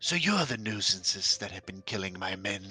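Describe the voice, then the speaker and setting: Over faint music in the background, a man uses a booming, put-on character voice, fairly low in pitch, at a moderate pace with fairly even intonation. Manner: booming, menacing.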